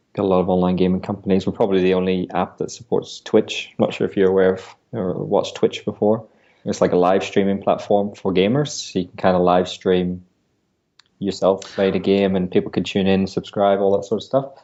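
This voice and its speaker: A man speaks with a European accent at a fairly quick pace. His pitch is fairly low and his intonation fairly even. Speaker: business founder. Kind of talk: interview. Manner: hesitant, many fillers.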